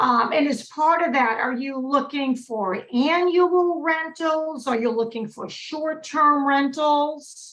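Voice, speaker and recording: A woman with a Massachusetts accent, high pitch, ordinary pitch variation and a fairly slow pace. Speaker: real estate broker and investor. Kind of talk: webinar presentation.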